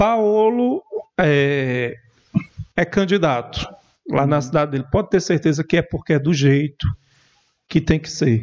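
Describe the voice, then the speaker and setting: This man talks at a fairly slow pace with a fairly high pitch and lively intonation, leaving long, frequent pauses. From Paraíba, Brazil. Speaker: political journalist. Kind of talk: podcast interview.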